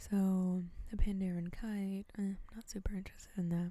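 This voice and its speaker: The voice is soft-spoken and moves at a fairly slow pace. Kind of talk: soft-spoken ASMR gameplay commentary. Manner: soft-spoken, casual, conversational.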